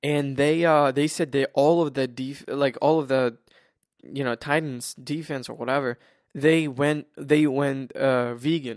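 With a quiet background, a man speaks at a fairly slow pace in a fairly high pitch with monotone, flat intonation. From Ukraine. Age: 20s. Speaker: sports podcast host. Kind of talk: casual solo podcast talk. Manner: halting, many repetitions.

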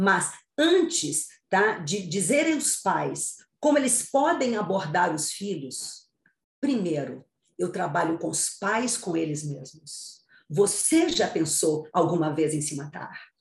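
A woman speaks at a very slow pace in a medium, somewhat breathy voice. Her pitch swings very widely, and room echo is audible. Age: 60s. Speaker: psychologist and author. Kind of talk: interview, expert advice.

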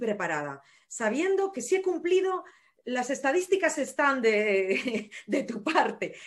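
Her pace is very slow. The woman's pitch climbs and drops across a very wide range. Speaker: nurse and running coach. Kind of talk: casual interview.

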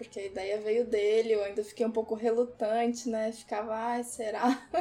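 A woman's fairly high voice amid noticeable background noise. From Brazil, Porto Alegre. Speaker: podcast co-host. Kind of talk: casual chat.

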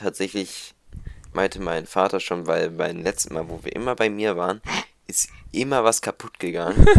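A man with a fairly low voice talks at a moderate speed and with fairly even intonation, on a very clean recording with a silent background. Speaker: podcast co-host. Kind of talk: casual chat. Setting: home recording at PC. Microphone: new microphone.

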